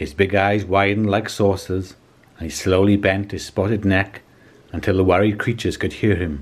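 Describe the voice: The clip is plain reading aloud. Nothing more is added to the delivery.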